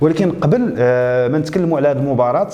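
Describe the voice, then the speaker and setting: A man with a Moroccan accent speaks at a fairly quick pace with lively intonation. Audible room echo and noticeable background noise are present. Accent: Moroccan Arabic (Darija). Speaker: YouTube show host. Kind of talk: casual presentation. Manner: hesitant, with fillers.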